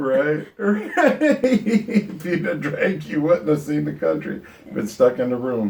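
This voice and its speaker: Someone speaks at a very slow pace with very wide pitch swings over noticeable background noise. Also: man, fairly high pitch for a man. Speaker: full-time RVer, channel host. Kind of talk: casual interview.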